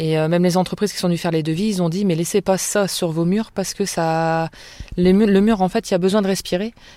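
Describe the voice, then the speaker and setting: Heard in a very clean recording with a silent background, a woman with a medium pitch and a dark, mellow tone speaks at a fairly quick pace. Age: 30s. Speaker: night care worker. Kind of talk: testimony. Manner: hesitant.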